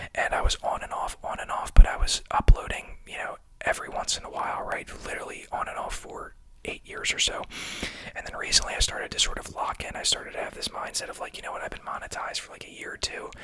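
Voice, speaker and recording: Someone is whispering at a very fast pace over noticeable background noise. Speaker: ASMR content creator. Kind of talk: whispered ASMR monologue. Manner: soft-spoken.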